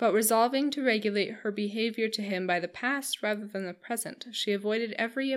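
The pitch varies in an ordinary way across this natural reading voice.

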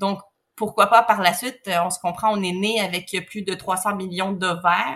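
Her medium-pitched voice holds a monotone, flat intonation as this woman talks. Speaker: surrogate mother, egg donor. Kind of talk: interview conversation.

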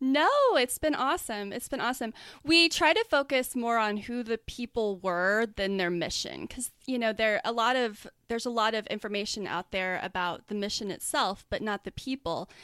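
On a very clean recording with a silent background, a woman with a fairly high pitch and a bright, sharp tone talks at a moderate pace with lively intonation. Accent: American. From US, Oklahoma and Florida. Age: 30s. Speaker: guest co-host. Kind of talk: casual comedic chat and storytelling.

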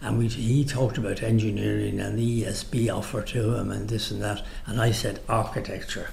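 A man speaks at a moderate pace with a Dublin accent, with audible room echo and noticeable background noise. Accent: Dublin Irish. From Ireland, Dublin. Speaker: retired architect. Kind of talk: oral history interview. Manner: halting.

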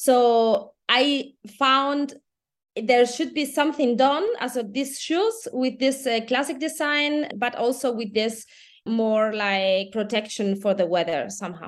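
Very slow speech in a Spanish accent, with ordinary pitch variation. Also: woman, high pitch for a woman. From Spain. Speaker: entrepreneur, children's footwear founder. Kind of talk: casual chat.

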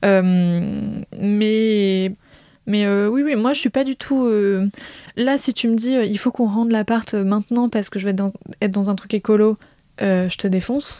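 Recorded very cleanly against a silent background, a woman's dark, mellow voice moves at a fairly slow pace with a dry, close sound and no echo. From rural France, grew up on a farm. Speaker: host's girlfriend. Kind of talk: casual chat. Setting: at home.

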